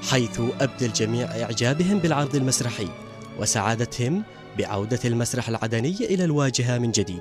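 This man talks at a moderate pace with very even loudness and lively intonation. His pitch is medium, and music plays in the background. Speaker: TV news reporter. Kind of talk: TV news report narration.

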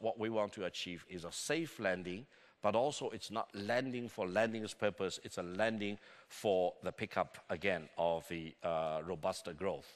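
A man with a Chinese accent, fairly low-pitched, with lively intonation at a moderate pace over a quiet background. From China. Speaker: conference keynote speaker on China; conference keynote speaker. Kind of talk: conference keynote speech. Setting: conference stage with audience. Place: hall. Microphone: podium.

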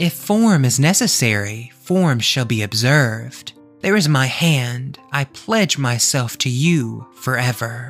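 Over faint background music, a man does a put-on character voice at medium pitch, slow-paced with few pauses, lively intonation and a fairly bright tone.

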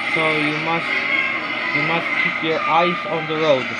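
The pace is very slow. Loud background noise runs underneath. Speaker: actor doing commentator voice-over. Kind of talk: racing commentary voice-over. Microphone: phone near.

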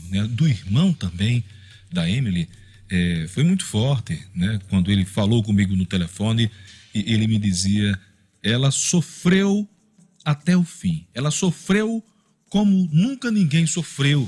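Very wide pitch swings mark this man's somewhat breathy voice. He speaks at a fairly slow pace. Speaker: radio news host. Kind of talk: news commentary. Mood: grave, indignant. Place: studio. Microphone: studio mic.

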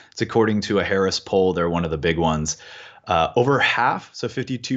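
With an American accent, a man speaks at a moderate pace with lively intonation against a quiet background. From California. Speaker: financial coach. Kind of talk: interview. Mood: reflective, slightly emotional. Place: home room. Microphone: earbuds.

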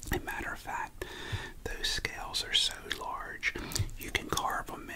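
A man is whispering at a fairly slow pace. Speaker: ASMR storyteller. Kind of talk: ASMR storytelling to camera. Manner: soft-spoken, casual, conversational. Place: home room. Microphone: studio mic.

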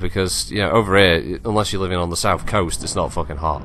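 At a very fast pace, a man speaks with an English accent. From England. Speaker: gaming YouTuber. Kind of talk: gameplay commentary. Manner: hesitant, with many fillers.

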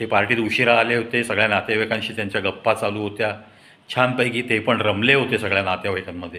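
A man speaks at a fast pace in a fairly low voice, his intonation fairly even and his tone bright and sharp.

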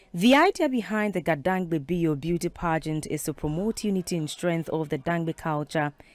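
A woman has a plain, everyday voice, fairly low in pitch with ordinary pitch variation. She keeps a moderate pace with hardly any pauses in a dry, close sound with no echo. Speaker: TV news reporter. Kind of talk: news reading, scripted TV report voiceover. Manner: formal.

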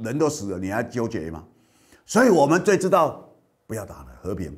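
The background is quiet as a man talks at a fairly quick pace. His pitch swings very widely. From Kinmen, Taiwan; Taiwan. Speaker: political commentator and show host; political commentator, show host. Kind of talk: news commentary monologue. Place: studio. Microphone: lapel.

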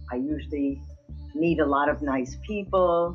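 A woman at a moderate pace with faint music in the background. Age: 80s+. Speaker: retired frequent cruise passenger. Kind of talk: interview answer. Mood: cheerful, enthusiastic. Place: home room. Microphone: webcam.

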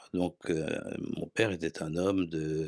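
Against a quiet background, a man talks very slowly in a very deep, low pitch with fairly even intonation. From France, Paris. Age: 70s. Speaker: former museum and library director; interview guest. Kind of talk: interview. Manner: halting. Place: home room. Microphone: handheld.

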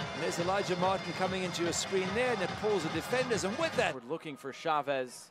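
Against noticeable background noise, a man raises and projects his voice at a high pitch. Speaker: football commentator. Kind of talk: live play-by-play football commentary over match highlights. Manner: excitable, rising to shouts on goals.

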